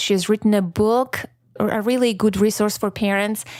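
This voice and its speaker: This woman's voice is fairly high in pitch. Her intonation is monotone and flat. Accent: non-native. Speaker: podcast host. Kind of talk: solo podcast reflection. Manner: casual, chatty.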